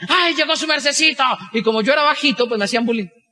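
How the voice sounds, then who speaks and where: Raising and projecting his voice, a man talks at a very fast pace. His pitch varies in an ordinary way. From Colombia, Boyacá. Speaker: business motivational speaker. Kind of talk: motivational talk.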